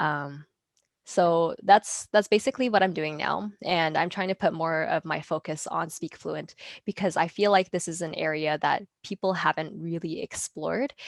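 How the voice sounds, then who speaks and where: A woman at a fairly low pitch and moderate pace, with ordinary pitch variation, in a dry, close sound with no echo and a very clean recording with a silent background. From Canada (British Columbia), born in Taiwan. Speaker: speech language pathologist. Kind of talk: interview conversation. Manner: hesitant, many fillers.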